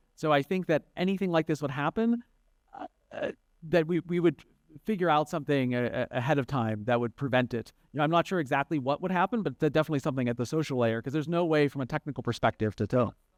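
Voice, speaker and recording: Lively intonation and a very fast pace mark this American accent, recorded with a dry, close sound and no echo. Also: man, fairly high pitch for a man. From United States. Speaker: conference panelist. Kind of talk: panel discussion. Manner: halting, many fillers and restarts.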